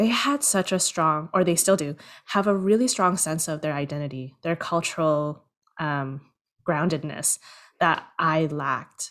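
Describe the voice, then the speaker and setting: A plain, everyday voice with a Canadian accent talks at a moderate pace. Pitch varies in an ordinary way. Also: woman, very clean recording, silent background. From Canada, Toronto. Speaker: producer and screenwriter. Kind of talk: interview.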